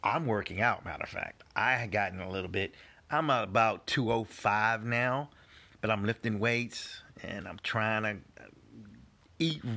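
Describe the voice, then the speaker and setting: Speaking at a fairly slow pace, a man uses a medium pitch and a bright, sharp tone. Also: ordinary pitch variation, very clean recording, silent background. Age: 50s. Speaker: podcast host. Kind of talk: casual monologue.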